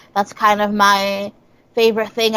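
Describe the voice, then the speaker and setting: In an upstate New York accent, a woman speaks at a moderate pace with a fairly high pitch. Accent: upstate New York American. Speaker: comedian. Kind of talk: casual chat.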